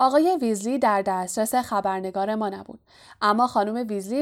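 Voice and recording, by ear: Someone reads aloud in a natural voice. Their pitch varies in an ordinary way.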